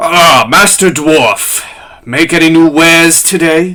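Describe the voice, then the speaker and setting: In a put-on character voice, the speaker goes at a fairly slow pace with a middle pitch. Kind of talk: formal, courteous greeting.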